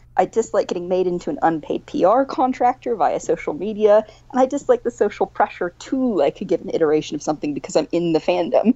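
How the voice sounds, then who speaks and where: A woman's fairly high voice in a Midwestern accent, very fast with hardly any pauses and very wide pitch swings. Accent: American Midwest. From Missouri. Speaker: academic author. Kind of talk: casual interview.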